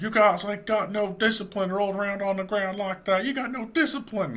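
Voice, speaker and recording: A put-on character voice with a strong Southern US accent. The pace is fairly quick, and the pitch varies in an ordinary way. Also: man, high pitch for a man. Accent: deep Southern. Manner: disparaging, scolding.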